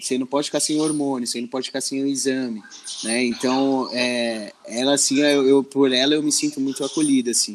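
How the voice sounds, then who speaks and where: Against noticeable background noise, a man speaks at a fairly quick pace and medium pitch with fairly even intonation. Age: 30s. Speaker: social educator. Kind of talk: interview. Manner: halting.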